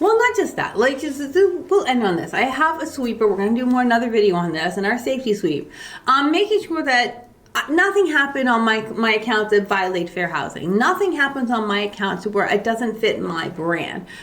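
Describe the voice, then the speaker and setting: A woman's fairly high voice at a fairly quick pace, with very wide pitch swings and noticeable background noise. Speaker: real estate agent. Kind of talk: casual chat. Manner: fast.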